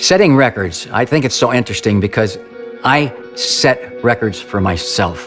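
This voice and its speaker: With music in the background, a man in an American accent speaks with lively intonation and very even loudness. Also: medium pitch for a man, moderate pace. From Ohio, USA. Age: 70s. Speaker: amateur marathon runner. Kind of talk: interview answer.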